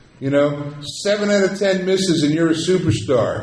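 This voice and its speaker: A man speaks in a room with audible echo and noticeable background noise behind him. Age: 60s. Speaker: actor. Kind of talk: convention panel Q&A. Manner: animated.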